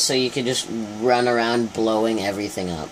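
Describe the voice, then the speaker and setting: Delivered at a moderate pace, the speech has light background noise behind it. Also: man. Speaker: gamer. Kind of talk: casual gameplay commentary. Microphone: phone near.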